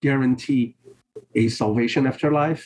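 A man with a Portuguese accent and monotone, flat intonation. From Brazil. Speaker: priest and author. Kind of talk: interview conversation. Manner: halting.

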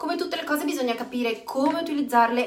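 The speaker sounds animated and talks at a very fast pace. Background noise is noticeable. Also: woman. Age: 40s. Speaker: network marketing coach. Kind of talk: live stream chat.

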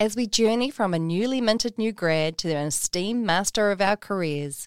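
A woman talks at a moderate pace, her pitch varying in an ordinary way. The recording is very clean and the background silent. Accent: New Zealand. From New Zealand. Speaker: podcast host. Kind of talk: interview; scripted narration. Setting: studio.

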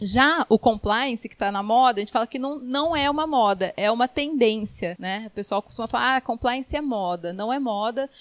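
With an unremarkable speaking voice, a woman talks at a moderate pace in a fairly high pitch with ordinary pitch variation and hardly any pauses, the sound dry and close with no echo. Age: 30s. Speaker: lawyer. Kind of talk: radio interview. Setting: studio.

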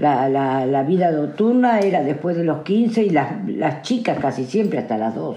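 Noticeable background noise and audible room echo surround the recording. A woman with a very deep, low pitch speaks fairly slowly, her pitch swinging very widely and hardly ever pausing. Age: 70s. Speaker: interviewee. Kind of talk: interview.

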